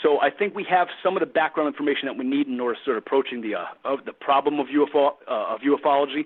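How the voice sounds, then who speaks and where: A man's fairly high voice at a very fast pace with hardly any pauses and ordinary pitch variation. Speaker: philosopher. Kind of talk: interview. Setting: live internet radio show.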